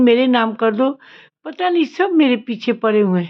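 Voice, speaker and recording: The woman here speaks at a high pitch. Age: 60s. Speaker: vlogger, gas agency owner. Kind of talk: personal vlog complaint.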